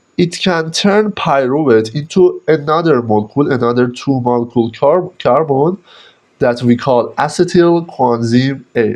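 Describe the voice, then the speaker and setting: A man with a non-native accent at a moderate pace, with ordinary pitch variation and very even loudness. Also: fairly high pitch for a man. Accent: non-native English pronunciation. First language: Persian. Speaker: biochemistry teacher. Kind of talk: lecture. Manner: halting.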